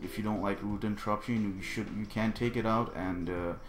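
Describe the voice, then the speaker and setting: Someone with a non-native accent speaks fairly quickly and with fairly even intonation, with audible room echo around the voice. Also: man. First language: not English. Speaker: gaming video creator. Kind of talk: tutorial. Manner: halting; casual.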